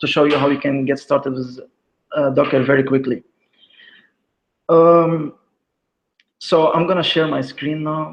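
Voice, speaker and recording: A man speaks at a moderate pace with a non-native accent, his fairly high-pitched voice keeping fairly even intonation. He takes long, frequent pauses. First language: not English. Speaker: software developer, conference speaker. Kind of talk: tech talk with screen demo. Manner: hesitant, many fillers.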